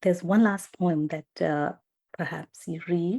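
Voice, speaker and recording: A woman with an Indian accent and a fairly low pitch is heard on a very clean recording with a silent background and a dry, close sound with no echo. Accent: Indian pronunciation. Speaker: podcast host. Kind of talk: casual interview chat. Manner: hesitant, many fillers.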